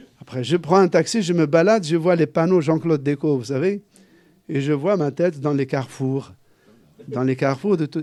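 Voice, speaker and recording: The voice has a dark, mellow tone. It moves at a moderate pace with ordinary pitch variation. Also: man, fairly high pitch for a man. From Algeria, Kabylie. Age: 60s. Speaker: journalist and author. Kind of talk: book talk Q&A.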